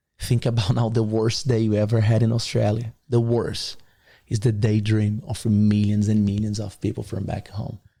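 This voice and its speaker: At a moderate pace, a man speaks in a fairly low pitch with a Brazilian accent, a somewhat breathy quality and a dark, mellow tone. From Brazil, Rio de Janeiro. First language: Portuguese. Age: 20s. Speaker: podcast guest, motivational figure. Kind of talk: casual interview chat. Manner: animated.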